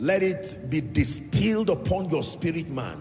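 Male speaker at a fairly slow pace over faint background music. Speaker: preacher. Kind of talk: sermon. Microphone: handheld.

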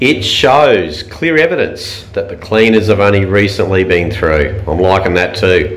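A man is speaking here. His pace is very slow. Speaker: travel reviewer. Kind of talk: casual vlog chat. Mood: playful, humorous. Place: bathroom. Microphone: phone near.

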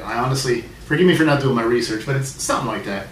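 A man talks at a very fast pace with ordinary pitch variation. Audible room echo and light background noise accompany him. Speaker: beer reviewer. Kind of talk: casual vlog review. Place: home room. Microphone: camera far.

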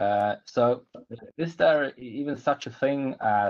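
A man with a Swedish accent speaks with ordinary pitch variation. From Sweden. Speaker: lawyer, panelist. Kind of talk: webinar presentation. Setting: video call. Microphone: video call.

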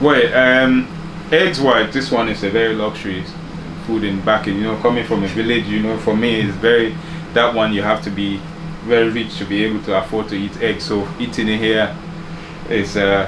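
Against noticeable background noise, a man talks at a fairly quick pace in a fairly low pitch with ordinary pitch variation. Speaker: home vlogger. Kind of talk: casual vlog chat. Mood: relaxed, grateful, smiling. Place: kitchen. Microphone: phone near.

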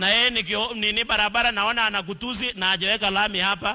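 A man with a high-pitched voice speaks at a fairly quick pace. His voice is raised and projected, with an animated tone. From Kenya. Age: young. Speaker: politician. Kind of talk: political rally speech. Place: hall. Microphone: handheld.

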